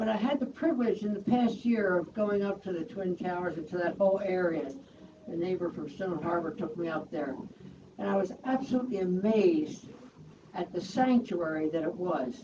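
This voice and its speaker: A woman talks at a medium pitch and a moderate pace. Her intonation is lively over noticeable background noise. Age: 80s+. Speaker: community member sharing memories. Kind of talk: personal testimony at memorial. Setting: memorial event with audience.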